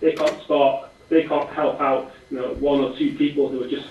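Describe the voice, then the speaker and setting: A man with an English accent speaks in a fairly high pitch and monotone, flat intonation. Audible room echo and noticeable background noise fill the recording. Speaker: startup co-founder. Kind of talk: interview. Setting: video call. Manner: fast.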